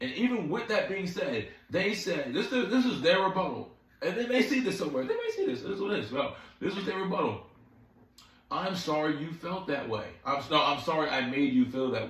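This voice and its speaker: Over noticeable background noise and room echo, a man speaks fairly quickly in a high, animated voice. His pitch swings very widely. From Philadelphia, US Northeast. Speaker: dating commentary vlogger. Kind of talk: casual vlog monologue. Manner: fast; animated, repetitive.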